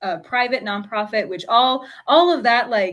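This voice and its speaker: A normal speaking voice, at a moderate pace with ordinary pitch variation. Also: woman. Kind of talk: casual chat.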